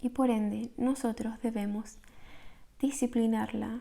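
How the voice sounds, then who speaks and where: A soft-spoken woman talks at a very slow pace in a dark, mellow tone. Her intonation stays monotone and flat. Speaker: meditation guide. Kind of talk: guided meditation.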